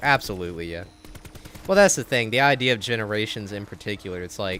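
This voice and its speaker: Talking at a very fast pace, a man with a fairly low pitch is heard over noticeable background noise. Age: 20s. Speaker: gaming live streamer. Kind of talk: casual live stream chat, reading viewer messages. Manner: youthful-sounding.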